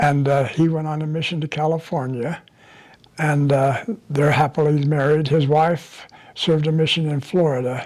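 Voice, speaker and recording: Here a man talks at a moderate pace with a fairly high pitch. His intonation is monotone and flat. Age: 90s. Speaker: elderly family member telling life story. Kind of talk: oral history interview. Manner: halting, many fillers.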